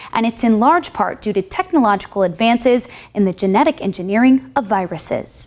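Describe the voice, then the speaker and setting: Her pitch moves through very wide swings. This woman's voice sits fairly high and moves at a fairly quick pace. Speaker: news anchor. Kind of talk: TV news anchoring.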